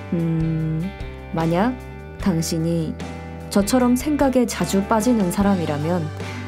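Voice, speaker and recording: Over music in the background, a woman speaks in a calm, gentle tone at a very slow pace with long, frequent pauses. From South Korea. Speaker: audio walk podcast host. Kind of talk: reflective podcast monologue. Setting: home studio.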